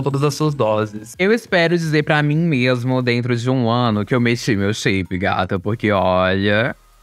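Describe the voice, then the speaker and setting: A man speaks against a quiet background. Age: 20s. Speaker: youtuber. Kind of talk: casual monologue.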